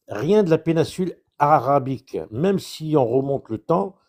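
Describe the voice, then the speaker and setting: A man with an Algerian accent speaks very slowly in a dark, mellow tone at a fairly high pitch, in a very clean recording with a silent background. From France, Indre-et-Loire (Touraine). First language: Chaoui Berber (speaking French). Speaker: debate participant. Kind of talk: casual debate. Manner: halting.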